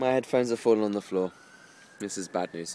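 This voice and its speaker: Moderate pace from a man with an English accent, over noticeable background noise. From England. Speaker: vlogger. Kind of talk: casual vlog monologue.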